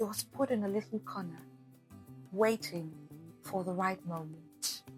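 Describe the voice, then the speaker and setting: Music in the background behind a woman at medium pitch, with very wide pitch swings and a very slow pace. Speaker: voice-over artist and radio/TV host. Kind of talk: faith encouragement message to camera.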